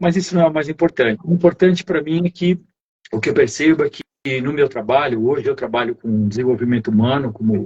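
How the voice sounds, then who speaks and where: Lively intonation from a man with a fairly high, somewhat breathy voice at a fairly quick pace. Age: 70s. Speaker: human development coach. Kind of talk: testimony.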